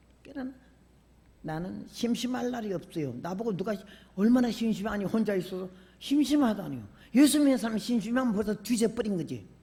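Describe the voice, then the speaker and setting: A woman's fairly high voice with vocal fry, at a fairly quick pace, in audible room echo. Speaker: preacher. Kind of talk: sermon. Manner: animated.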